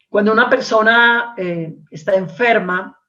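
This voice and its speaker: Audible room echo surrounds a woman speaking at a very slow pace. Her pitch varies in an ordinary way. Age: 60s. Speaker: preacher. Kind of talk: sermon. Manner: repetitive, with fillers and hesitations.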